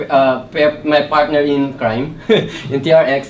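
Light background noise runs under a man's voice. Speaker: presenter. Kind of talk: technical talk. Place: meeting room. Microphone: camera far.

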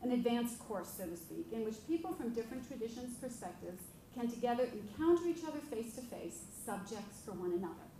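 Talking at a very fast pace with lively intonation, a woman with a fairly high pitch is heard over light background noise and audible room echo. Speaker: professor, panel respondent. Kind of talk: prepared response talk; lecture. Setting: lecture hall with audience. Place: hall. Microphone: podium.

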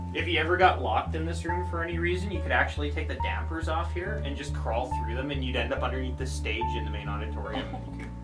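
A very fast pace with hardly any pauses, over loud music in the background. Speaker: tour guide. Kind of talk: tour guide explanation. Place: tunnel cave. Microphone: phone near.

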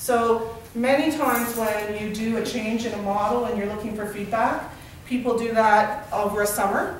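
A woman speaks with fairly even intonation. There is audible room echo and light background noise. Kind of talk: presentation to a group. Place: meeting room. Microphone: camera far.

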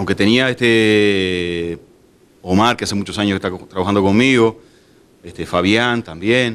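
This man has a fairly low pitch and speaks at a fairly slow pace with fairly even intonation. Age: 40s. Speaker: bar owner; interviewee. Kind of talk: interview; interview answer. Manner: halting, many fillers. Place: bar. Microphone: handheld.

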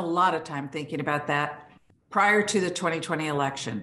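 Audible room echo surrounds a bright, sharp tone delivered at a moderate pace. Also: woman. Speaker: remote conference speaker. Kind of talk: conference talk. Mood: serious, earnest. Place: home room. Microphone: video call.

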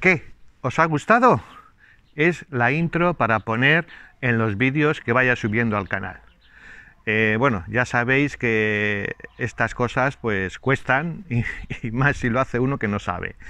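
In a dry sound with no echo, a man with a bright, sharp tone and medium pitch speaks at a very slow pace with ordinary pitch variation and long, frequent pauses. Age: 60s. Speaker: YouTuber; channel host. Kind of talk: casual vlog talk to viewers. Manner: hesitant, many fillers. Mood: warm, pleased. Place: garden. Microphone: lapel.

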